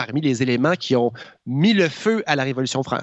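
Lively intonation at a moderate pace. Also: man. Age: 40s. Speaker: columnist. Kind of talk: radio-style chronicle.

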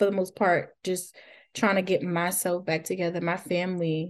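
A woman's medium-pitched voice at a moderate pace over a quiet background. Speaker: postpartum doula. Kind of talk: casual interview.

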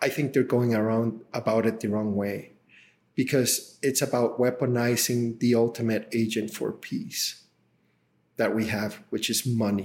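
A man with a Spanish accent talks fairly slowly at medium pitch in a flat monotone. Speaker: tech company CEO. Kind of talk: interview.

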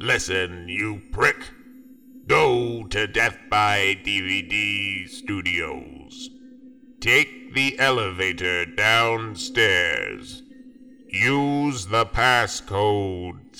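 A raspy, robotic male voice, fairly low in pitch, at a very slow pace. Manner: cold, commanding.

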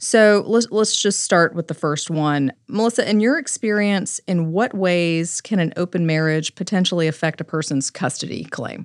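A woman in a normal speaking voice, fairly low in pitch, with ordinary pitch variation, a moderate pace, and hardly any pauses. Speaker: family law attorney and podcast host. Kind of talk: podcast discussion.

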